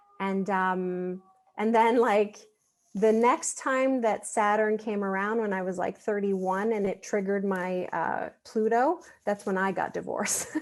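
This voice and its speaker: With a French accent, a woman talks at a fairly slow pace in a medium pitch with fairly even intonation. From Quebec, Montreal. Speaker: astrologer. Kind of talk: casual interview.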